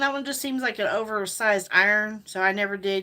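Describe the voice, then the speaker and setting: A woman's fairly high, bright, sharp voice with an American accent and ordinary pitch variation, on a very clean recording with a silent background. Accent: self-described hillbilly. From Indiana (Hayden, near North Vernon). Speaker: lifestyle vlogger. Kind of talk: casual livestream chat. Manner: rambling, halting.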